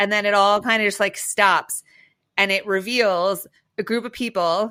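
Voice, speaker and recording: A woman with a medium-pitched voice talks in a bright, sharp, animated tone on a very clean recording with a silent background. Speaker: podcast co-host, social impact strategist. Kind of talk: casual chat. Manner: fast.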